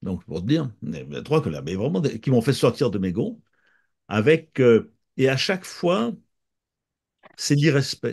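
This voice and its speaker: Speaking fairly slowly at a medium pitch, a man uses vocal fry and very wide pitch swings, with long, frequent pauses. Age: 70s. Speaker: author and therapist. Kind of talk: interview. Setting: countryside. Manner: halting, many repetitions.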